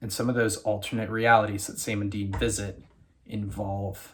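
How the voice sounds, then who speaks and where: Quietly and somewhat breathily, a man with an American accent speaks at a moderate pace, his fairly low voice monotone and flat. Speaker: YouTuber reviewing TV shows. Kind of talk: casual video commentary. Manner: quiet, keeping voice down.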